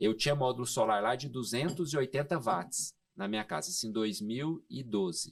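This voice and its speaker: A voice with lively intonation and a Goiás accent comes through in a very clean recording with a silent background. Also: man. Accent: Goiás accent, sing-song. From Goiás, Brazil. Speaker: solar energy industry expert. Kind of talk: podcast interview. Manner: hesitant fillers.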